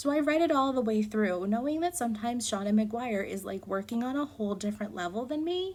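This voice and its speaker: Fairly high and somewhat breathy, a woman's voice races at a very fast pace with lively intonation and hardly any pauses. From New Jersey. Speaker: book reviewer. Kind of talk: casual book review vlog. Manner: animated.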